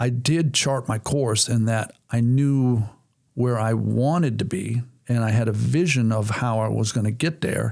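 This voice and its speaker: In a normal speaking voice with an American accent, the speaker keeps a moderate pace and fairly even intonation. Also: man. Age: 60s. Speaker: racing speedway owner, former race driver. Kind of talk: podcast interview.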